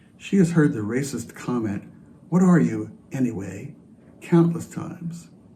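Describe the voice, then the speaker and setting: Audible room echo surrounds a man's voice. His pitch swings very widely. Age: 70s. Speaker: church member sharing reflection. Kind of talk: personal testimony in worship service.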